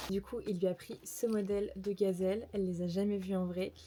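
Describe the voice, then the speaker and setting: The tone is dark and mellow. Intonation stays monotone and flat throughout. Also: woman. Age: 20s. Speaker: lifestyle vlogger. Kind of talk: casual vlog haul. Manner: casual, filler-heavy; whispering at times.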